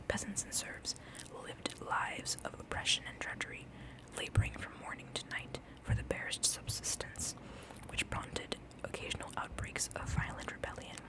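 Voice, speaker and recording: Over noticeable background noise, a woman is whispering. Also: moderate pace. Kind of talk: whispered ASMR book reading. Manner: whispered, soft.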